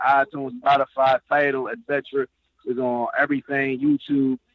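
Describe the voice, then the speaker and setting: A man speaks at a fairly high pitch. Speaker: rapper. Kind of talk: interview.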